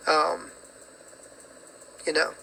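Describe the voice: A man speaks very slowly in a hoarse, raspy voice with a bright, sharp tone, a slightly husky edge, vocal fry and monotone, flat intonation. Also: fairly high pitch for a man.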